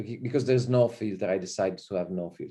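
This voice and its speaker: A man's dark, mellow voice with lively intonation, over a quiet background. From Italy. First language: Italian. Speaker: visiting professor. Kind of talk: lecture. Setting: video call. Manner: informal, hesitant with many fillers.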